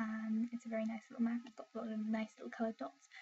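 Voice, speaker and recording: A woman's fairly high voice at a very fast pace, in an English accent. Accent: received pronunciation. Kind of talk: casual talk to camera.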